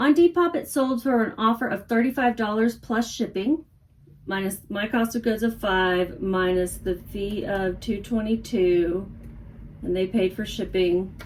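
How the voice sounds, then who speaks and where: A woman speaks with an American accent in a somewhat breathy, fairly high-pitched voice. Her pace is fairly slow, and her pitch varies in an ordinary way. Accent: mild Texas accent, stronger lately. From grew up moving around as Army brat, Texas family. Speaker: online reseller. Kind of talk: casual vlog chat.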